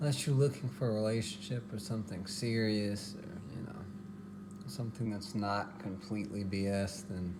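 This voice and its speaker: A man's fairly low voice at a moderate pace, fairly even in intonation, with audible room echo and noticeable background noise. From Texas. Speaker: home cooking vlogger. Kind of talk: casual cooking tutorial.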